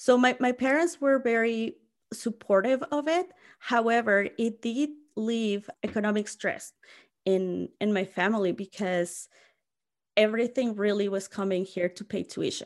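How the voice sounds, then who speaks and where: A woman with a Mexican accent speaks at a fairly high pitch in a very clean recording with a silent background. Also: ordinary pitch variation, fairly slow pace. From Mexico (Mexico City). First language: Spanish. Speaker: college staff, former international student. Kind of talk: casual interview. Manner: many fillers and restarts.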